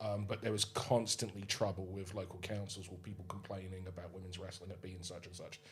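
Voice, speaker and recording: A man talks fairly quickly in a monotone, flat way, his pitch very deep and low, with noticeable background noise around him. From England, Suffolk/Essex border. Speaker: wrestling promoter. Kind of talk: podcast interview. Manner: fast, with many false starts.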